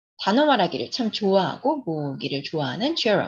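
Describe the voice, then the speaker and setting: A somewhat breathy woman's voice, medium in pitch, with very wide swings in pitch. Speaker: English picture book storyteller and educator. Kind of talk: reading a picture book aloud with commentary.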